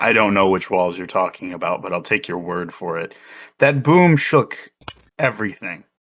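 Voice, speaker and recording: In a put-on character voice, a man sounds raspy and fairly low-pitched at a moderate pace against a quiet background. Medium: actual play.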